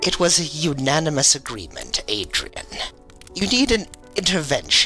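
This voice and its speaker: Clear music plays behind a man using a high-pitched, put-on character voice. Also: moderate pace. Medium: audio drama. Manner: menacing, condescending.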